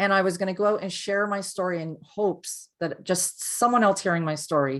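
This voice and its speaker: An unremarkable speaking voice, captured in a very clean recording with a silent background, keeps a moderate pace and ordinary pitch variation. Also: woman. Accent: Canadian. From Canada. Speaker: abuse survivor and empowerment coach. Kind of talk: testimony.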